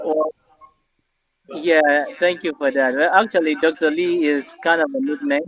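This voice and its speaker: With music in the background, a man talks at a fairly slow pace and a fairly high pitch. His intonation is fairly even, and the sound is dry and close with no echo. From northeastern Nigeria, Maiduguri. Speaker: artist and art therapist. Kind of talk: interview answers.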